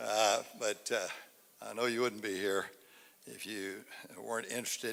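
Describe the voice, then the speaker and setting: The voice has a bright, sharp tone and an East Texas accent. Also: man. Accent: East Texas Southern US. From East Texas, Angelina County. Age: 80s+. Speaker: local citizen speaker at public forum. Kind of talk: public speech. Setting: civic center stage with audience. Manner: halting.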